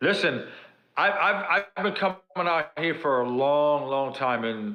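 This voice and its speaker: With a New York accent, a man speaks at a moderate pace, his pitch fairly high and his pitch variation ordinary. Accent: Bronx New York. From New York City (South Bronx). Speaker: pro wrestler. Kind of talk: podcast interview.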